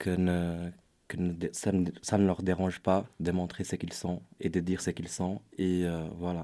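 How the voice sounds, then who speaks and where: In a very clean recording with a silent background, a man with a Portuguese accent speaks at a fairly slow pace in a very deep, low pitch, with a dark, mellow tone and monotone, flat intonation. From Brazil. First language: Portuguese (speaking French). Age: 20s. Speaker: youth volunteer. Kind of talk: panel discussion.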